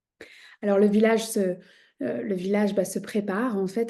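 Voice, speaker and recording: A woman speaks at a fairly slow pace with a medium pitch and fairly even intonation. Her tone is dark and mellow over a quiet background. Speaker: shamanism teacher and podcast host. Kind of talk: podcast storytelling. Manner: conversational with frequent hesitations.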